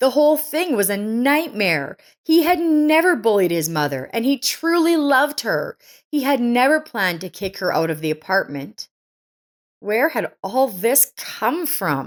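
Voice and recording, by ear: On a very clean recording with a silent background, a woman speaks at a fairly slow pace. Her fairly high voice makes big pitch swings.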